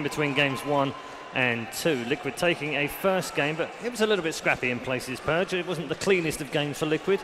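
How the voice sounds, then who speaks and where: The speech runs at a fairly quick pace with ordinary pitch variation. Noticeable background noise can be heard. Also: man. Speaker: esports desk host. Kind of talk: casual banter leading into a panel. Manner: amused, upbeat, laughing. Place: stage. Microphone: headset.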